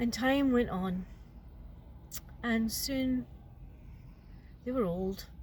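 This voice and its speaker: A woman speaks very slowly in a fairly high, somewhat breathy voice with lively intonation. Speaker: storyteller. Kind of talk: folk tale storytelling. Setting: in a car.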